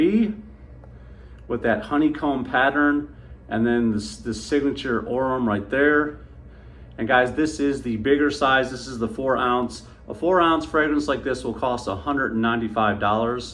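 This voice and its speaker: A man at medium pitch with ordinary pitch variation, a moderate pace, and audible room echo. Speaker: fragrance reviewer. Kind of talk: product review. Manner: animated.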